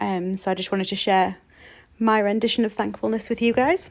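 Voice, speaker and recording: Speaking at a fairly quick pace with a British accent, a woman keeps a medium pitch and ordinary pitch variation in a very clean recording with a silent background. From UK. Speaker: card-making crafter. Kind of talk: craft tutorial narration. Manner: casual, frequent ums.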